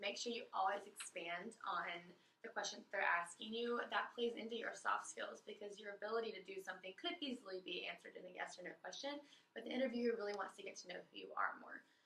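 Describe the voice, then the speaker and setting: A woman with a fairly high pitch talks at a very fast pace amid noticeable background noise. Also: ordinary pitch variation. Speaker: college student leading an interview workshop. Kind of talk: workshop presentation.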